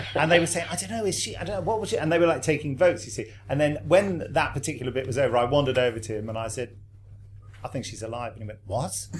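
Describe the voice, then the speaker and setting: His intonation is lively. A man rattles along at a very fast pace. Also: medium pitch for a man, big swings in loudness. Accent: English. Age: 50s. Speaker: actor who voices monsters. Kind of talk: panel discussion.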